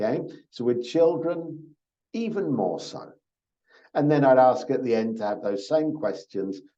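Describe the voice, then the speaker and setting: A man speaks at a medium pitch with a dark, mellow tone. Audible room echo surrounds his voice. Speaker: program orientation presenter. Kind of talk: online orientation talk. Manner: slow and repetitive.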